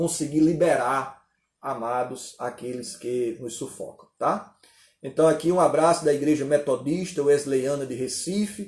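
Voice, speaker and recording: At a very slow pace, a somewhat breathy man speaks in a fairly high pitch with ordinary pitch variation. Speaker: pastor. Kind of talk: sermon with live Q&A. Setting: online conference livestream.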